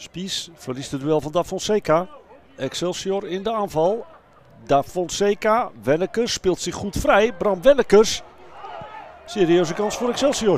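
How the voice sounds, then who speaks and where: A man talks at a fairly slow pace in an excited tone, with lively intonation, a high pitch and noticeable background noise. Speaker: football commentator. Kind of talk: football commentary. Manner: urgent, excited at chances.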